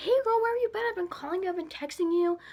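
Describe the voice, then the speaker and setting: Putting on a squeaky character voice at an extremely high pitch, a woman rattles along at a very fast pace with lively intonation. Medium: solo performance. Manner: casual, chummy.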